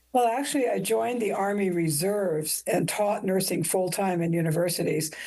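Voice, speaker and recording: With a dark, mellow tone and lively intonation, the voice moves at a fairly quick pace at a very even loudness, with audible room echo. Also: woman, medium pitch for a woman. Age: 70s. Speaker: nurse educator and army veteran. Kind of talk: interview.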